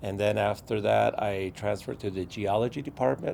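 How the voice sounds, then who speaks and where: With a fairly low pitch and a dark, mellow tone, a man talks at a moderate pace, his voice dropping into vocal fry. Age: 60s. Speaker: former uranium miner and community activist. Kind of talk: testimony. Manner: halting.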